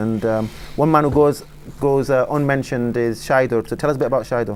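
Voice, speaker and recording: With a West Yorkshire accent, a man talks at a fairly quick pace using fairly even intonation. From northern England, Bradford. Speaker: sports talk show host. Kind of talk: TV talk show. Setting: studio.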